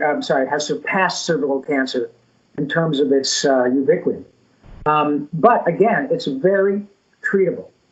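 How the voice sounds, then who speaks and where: An ordinary speaking voice, a man with fairly high pitch, lively intonation and a moderate pace. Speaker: voice actor. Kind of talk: interview answer.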